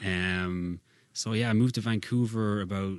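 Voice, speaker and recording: In an Irish accent, a man speaks at a fairly low pitch with fairly even intonation over a quiet background. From Ireland, County Kildare. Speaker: singer-songwriter. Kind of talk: casual chat. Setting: studio.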